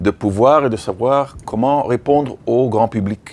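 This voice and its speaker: A man talks at a fairly slow pace. His pitch is medium with ordinary variation. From Belgium and Africa. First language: English (speaking French). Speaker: veterinarian and animal-rights association director. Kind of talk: training workshop. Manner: halting, with frequent repetitions.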